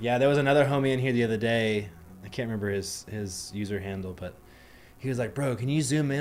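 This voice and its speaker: A man's medium-pitched voice at a very fast pace, ordinary pitch variation, and audible room echo. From Asia. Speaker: live-streaming software developer. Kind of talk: casual live stream coding chat. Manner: casual, slangy.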